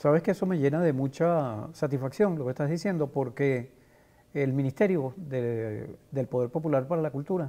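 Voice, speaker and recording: With a dark, mellow tone, a man speaks at a moderate pace and varies his pitch in an ordinary way. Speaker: journalist and TV interviewer. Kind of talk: interview host.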